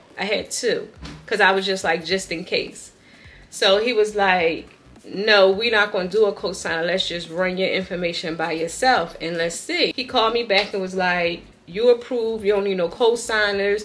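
Ordinary pitch variation at a moderate pace, over faint music in the background. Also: woman. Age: 40s. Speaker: lifestyle vlogger. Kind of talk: casual vlog chat. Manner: animated. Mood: upbeat, grateful. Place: home room. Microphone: phone near.

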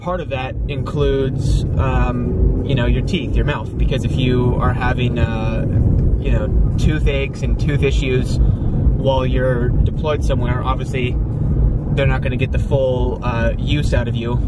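Fairly slow speech in a dry recording with no echo sits under loud background noise. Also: man. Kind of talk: casual vlog chat. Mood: calm, storytelling. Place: car. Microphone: phone near.

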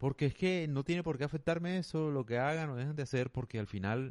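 The background stays quiet. A man speaks at a moderate pace, with ordinary pitch variation. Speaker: podcaster. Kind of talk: monologue. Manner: casual.

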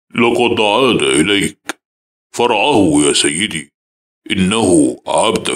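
In a put-on character voice, a man speaks at a very slow pace with a fairly low pitch and lively intonation. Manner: menacing.

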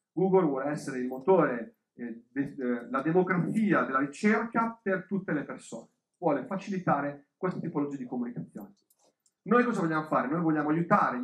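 A man at a fairly quick pace with very wide pitch swings, audible room echo and a quiet background. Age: 40s. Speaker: business coach. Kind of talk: lecture. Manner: halting. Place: hall.

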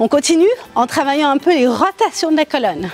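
A woman speaks at a high pitch with faint music in the background. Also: dry sound with no echo. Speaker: fitness instructor. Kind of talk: workout instruction with counting. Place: garden.

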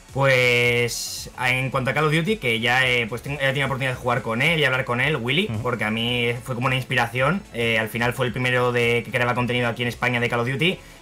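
Faint music plays in the background as the speaker races along at a very fast pace with hardly any pauses and fairly even intonation. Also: man. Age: 20s. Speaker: youtuber and content creator; guest. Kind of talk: interview. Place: home room.

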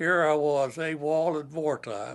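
Speaking in a Kentucky accent at a very slow pace, the man has a fairly high pitch. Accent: Southern US (Kentucky). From Kentucky, USA. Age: 80s+. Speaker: war veteran. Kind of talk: interview answer. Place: home room.

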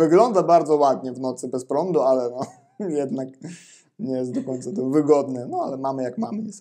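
Speaking at a fairly quick pace in a Ukrainian accent, a man with a fairly high pitch, ordinary pitch variation and a dark, mellow tone is heard against a quiet background. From Ukraine. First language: Ukrainian (speaking Polish). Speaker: Polish language teacher. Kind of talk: interview. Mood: relaxed, casual. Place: home room. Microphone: lapel.

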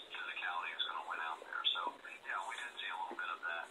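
Noticeable background noise runs under a man speaking at a very fast pace. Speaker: guest. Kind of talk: interview answer.

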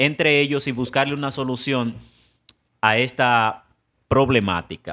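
The background is quiet. A man speaks with a bright, sharp tone. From Dominican Republic. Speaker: news presenter and reporter; news presenter, reporter. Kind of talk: news report. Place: studio. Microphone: studio mic.

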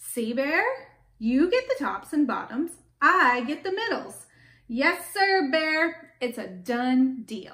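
A woman does a put-on character voice, high in pitch with big pitch swings. She speaks at a slow pace. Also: fairly bright tone.

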